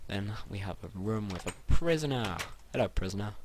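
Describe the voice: Someone reads aloud plainly.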